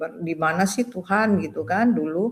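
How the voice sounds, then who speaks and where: Here a woman speaks in a fairly low pitch. Her pace is moderate. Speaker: retired doctor giving a conversion testimony. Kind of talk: testimony. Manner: halting, many fillers.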